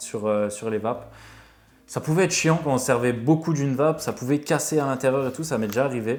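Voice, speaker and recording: His delivery is very fast. The man's pitch is medium and varies in an ordinary way. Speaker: vape reviewer, YouTuber. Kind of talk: casual product review, unboxing. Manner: hesitant, many fillers (euh).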